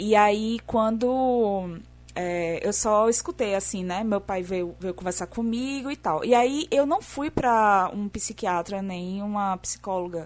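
At a very slow pace, a woman speaks with ordinary pitch variation and hardly any pauses. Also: medium pitch for a woman. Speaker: podcast guest.

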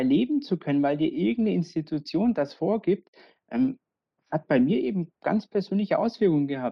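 Fairly low in pitch, a woman speaks at a moderate pace with very wide pitch swings. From Bavaria, Augsburg. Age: 30s. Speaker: local politician and queer activist. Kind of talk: podcast interview.

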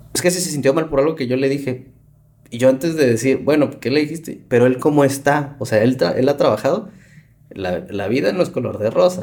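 Here a man with a fairly high pitch talks at a fairly quick pace, using ordinary pitch variation in a normal speaking voice. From Mexico City. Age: 30s. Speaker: podcast host, psychologist. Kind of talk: casual interview.

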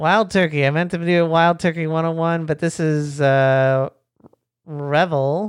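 The speaker moves at a fairly slow pace with fairly even intonation. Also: woman, very deep, low pitch for a woman. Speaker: podcast host. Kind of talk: casual chat. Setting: live stream.

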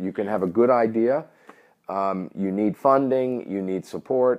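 Speaking at a fairly slow pace with a New York accent, a man keeps a medium pitch with ordinary pitch variation. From New York City. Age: 50s. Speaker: gambling industry entrepreneur. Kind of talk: interview. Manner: direct.

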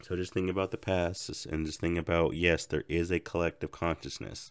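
In a very clean recording with a silent background, a man with a very deep, low pitch speaks with fairly even intonation. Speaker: spiritual podcaster. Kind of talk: spiritual monologue. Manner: casual, reflective. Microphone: new microphone.

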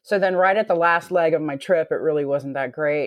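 A woman talks at a fairly quick pace in a Southern US accent. Her pitch is very deep and low. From US South. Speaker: X-ray technician. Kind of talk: casual chat.

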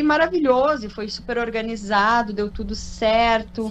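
A woman uses a normal speaking voice at a fairly slow pace with ordinary pitch variation. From Porto Alegre, southern Brazil. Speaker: olive oil producer. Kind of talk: radio interview. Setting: radio studio.

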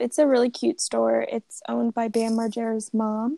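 A high-pitched woman at a moderate pace, with a dry, close sound and no echo. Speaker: podcast co-host. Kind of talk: casual chat.

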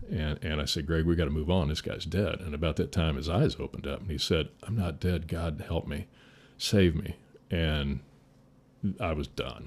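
Somewhat breathy and fairly even in intonation, the voice moves at a moderate pace with an Indiana accent. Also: man, very deep, low pitch for a man. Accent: Midwestern US (Indiana). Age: 60s. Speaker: firefighter. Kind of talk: casual chat.

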